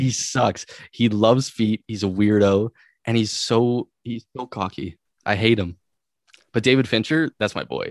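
A man speaks in an unremarkable speaking voice. His pace is fairly slow and his intonation fairly even. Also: medium pitch for a man. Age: 20s. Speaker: podcaster and film fan. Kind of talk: casual chat.

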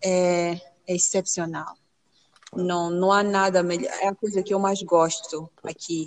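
At a fairly slow pace, a woman speaks with a medium pitch and monotone, flat intonation. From Mozambique. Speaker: doctoral student in plant pathology. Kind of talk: interview.

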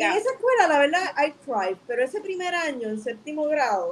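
Amid noticeable background noise, a woman talks at a fairly quick pace with very wide pitch swings. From Puerto Rico (Bayamón). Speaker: filmmaker and artist. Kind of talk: interview. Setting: live stream.

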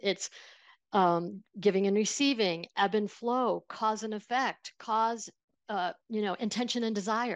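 In a very clean recording with a silent background, a woman with a Buffalo accent speaks at a moderate pace, medium pitch and ordinary pitch variation. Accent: Western New York (Buffalo) American. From Buffalo, New York. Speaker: financial planner and money coach. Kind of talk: casual interview conversation.

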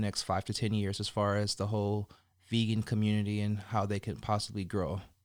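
Recorded very cleanly with a silent background, the speaker uses an American accent and a moderate pace. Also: man. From Colorado and California, US. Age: 30s. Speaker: podcast host. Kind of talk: casual interview chat. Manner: casual, laughing.

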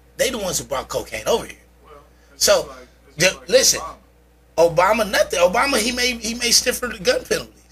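A man talks in an animated tone at a very fast pace, with noticeable background noise. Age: 40s. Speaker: podcast host guest. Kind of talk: casual chat.

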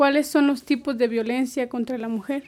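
High pitch in a woman's voice, varying in an ordinary way. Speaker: community radio host. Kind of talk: interview.

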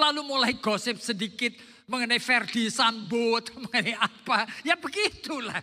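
A man with an extremely high pitch speaks in a raised, projected voice with a bright, sharp tone. His pace is fairly slow, his loudness very even, and his pitch variation ordinary. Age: old. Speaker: pastor. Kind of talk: sermon.

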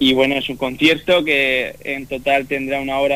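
Here a man talks at a moderate pace. His medium pitch carries fairly even intonation. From Spain, Murcia region. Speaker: orchestra conductor. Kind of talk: radio interview. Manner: halting.

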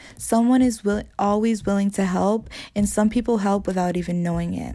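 A somewhat breathy, dark, mellow tone in a monotone, flat intonation at a moderate pace. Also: woman, very clean recording, silent background. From Dominican heritage. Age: 20s. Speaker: college student and podcaster. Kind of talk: interview answers.

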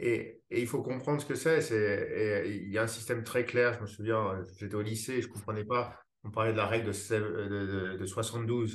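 A man's somewhat breathy, medium-pitched voice at a fairly slow pace, with fairly even intonation, hardly any pauses, and audible room echo. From France, Paris. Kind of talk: casual interview conversation. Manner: hesitant, many fillers and repetitions.

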